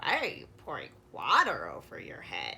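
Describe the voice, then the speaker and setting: A woman puts on a character voice. She speaks at a moderate pace. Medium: read story.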